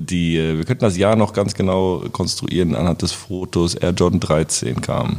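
A man speaks at a fairly slow pace in a very deep, low voice. Noticeable background noise runs behind him. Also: ordinary pitch variation. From Germany, Braunschweig. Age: 30s. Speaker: roofer. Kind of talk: casual chat.

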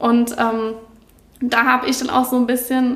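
Fairly high-pitched woman's voice at a moderate pace amid noticeable background noise. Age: 20s. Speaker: graphic designer and student. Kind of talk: casual interview.

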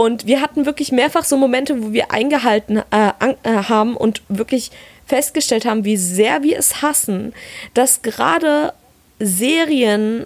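A woman's fairly high voice shows ordinary pitch movement as she talks very slowly. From Palatinate, Germany. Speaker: podcast co-host. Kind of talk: casual chat.

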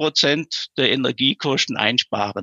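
A man talks at a very slow pace and medium pitch, with vocal fry. His pitch varies in an ordinary way. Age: 50s. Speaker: local lifesaving club vice chair and councillor. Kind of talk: interview.

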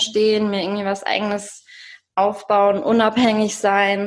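Medium pitch from a woman, at a very slow pace. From Germany, rural edge of the Ruhr area. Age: 30s. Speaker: single guest on dating podcast. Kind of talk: interview, casual chat. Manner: hesitant, many fillers.

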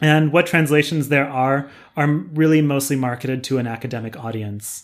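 A man with an ordinary speaking voice and a fairly high pitch talks at a moderate pace. The recording is very clean, with a silent background. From US West Coast, San Diego, California. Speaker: professor. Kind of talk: interview.

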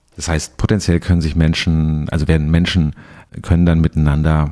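The sound is dry and close, with no echo. A man's dark, mellow tone carries through it. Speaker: podcast host, culture journalist. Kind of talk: interview. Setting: studio in Berlin.

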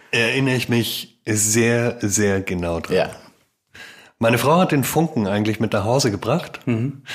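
A man speaks in a plain, everyday voice at a fairly slow pace, with medium pitch, ordinary pitch variation, and a very clean recording with a silent background. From Baden-Württemberg, Germany. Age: 40s. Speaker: daycare founder and business consultant. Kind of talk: casual interview.

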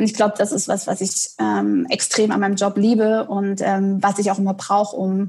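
Here a woman speaks at a moderate pace in a medium, somewhat breathy voice. Her intonation is monotone and flat. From Saxony, eastern Germany (Dresden). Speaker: head of marketing. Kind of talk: interview. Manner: hesitant, many fillers.

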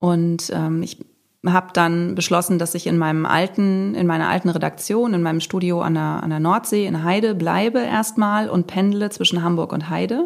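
A woman's ordinary speaking voice, fairly low in pitch, at a moderate pace with ordinary pitch variation. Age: 40s. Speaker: self-employed content creator. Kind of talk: interview.

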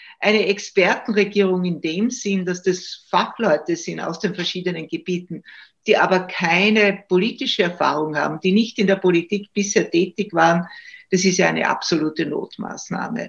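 A woman speaks at a moderate pace and medium pitch. Her voice is somewhat breathy, with fairly even intonation. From Austria, Styria. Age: 70s. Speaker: retired judge and political commentator. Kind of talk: interview. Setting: video call.

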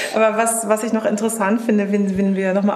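Over noticeable background noise, a woman speaks at medium pitch. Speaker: interviewer. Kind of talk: interview.

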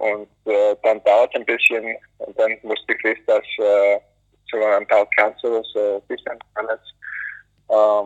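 Long pauses come often as a man speaks. His delivery is very slow. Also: dry, close sound with no echo. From US, North Carolina. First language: English (speaking German). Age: 20s. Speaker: alpine ski racer. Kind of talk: interview. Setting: phone call from airport. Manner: halting. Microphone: poor phone audio quality.

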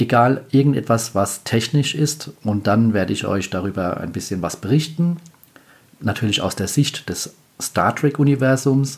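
With lively intonation, a man speaks in a somewhat breathy voice. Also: medium pitch for a man, moderate pace. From Palatinate, Germany. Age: 40s. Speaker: podcast host. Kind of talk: solo podcast talk. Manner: casual.

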